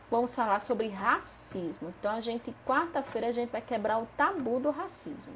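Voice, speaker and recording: With ordinary pitch variation and a fairly quick pace, a woman speaks through noticeable background noise. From Paraíba, Northeast Brazil. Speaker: spiritist study group leader. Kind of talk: live-streamed study lesson. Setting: live stream. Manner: animated.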